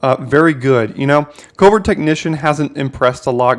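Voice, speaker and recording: A fairly high-pitched man with ordinary pitch variation on a very clean recording with a silent background. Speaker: YouTube Magic draft content creator. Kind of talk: gameplay commentary tutorial. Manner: fast.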